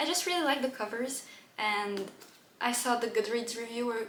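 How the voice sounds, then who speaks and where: A speaker with a non-native accent talks at a moderate pace with ordinary pitch variation. Noticeable background noise and audible room echo fill the recording. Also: woman. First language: not English. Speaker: book youtuber. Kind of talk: casual book haul chat. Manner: animated.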